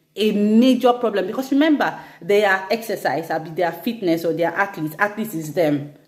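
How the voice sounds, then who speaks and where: With lively intonation, a woman talks in an ordinary speaking voice. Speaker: fitness instructor. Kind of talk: instagram live talk.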